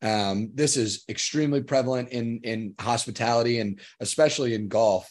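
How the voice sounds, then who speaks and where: A man with an American accent speaks at a medium pitch and a moderate pace. It is an ordinary speaking voice, heard over a quiet background. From Long Island, New York. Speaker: student podcast host. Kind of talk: casual panel discussion.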